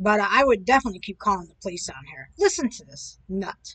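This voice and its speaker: Bright and sharp in tone, a woman talks at a fairly quick pace with a medium pitch. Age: 60s. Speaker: video commentator. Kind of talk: casual commentary monologue. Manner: rambling, hesitant with fillers.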